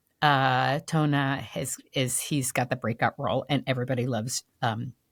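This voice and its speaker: In a New York accent, a woman speaks fairly slowly at a very deep, low pitch with ordinary pitch variation. The recording is very clean and the background silent. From New York, Puerto Rican family. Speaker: actress. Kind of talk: casual chat.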